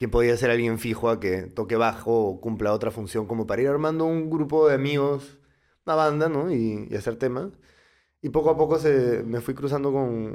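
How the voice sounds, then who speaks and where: A normal speaking voice shows ordinary pitch variation at a moderate pace. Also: man. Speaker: musician and music producer. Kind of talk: casual chat.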